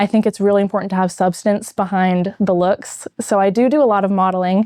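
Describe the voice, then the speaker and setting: This woman has an American accent and a normal speaking voice, pitched in the medium range. She talks at a fairly quick pace with fairly even intonation. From Maine, US. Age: 20s. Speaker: nursing student, former pageant titleholder. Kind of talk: interview.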